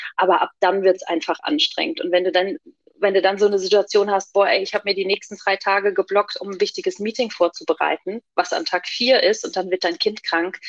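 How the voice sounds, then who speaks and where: A woman with an unremarkable speaking voice talks at a fairly quick pace and medium pitch, with ordinary pitch variation and a dry, close sound with no echo. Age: 40s. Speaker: working mother. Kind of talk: interview.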